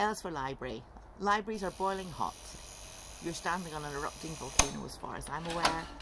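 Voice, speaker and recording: A woman with a fairly low pitch and ordinary pitch variation talks at a very fast pace, her loudness swinging widely amid noticeable background noise. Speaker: writer and tutor. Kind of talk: casual talk to camera. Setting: outdoors. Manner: raised voice, emphatic.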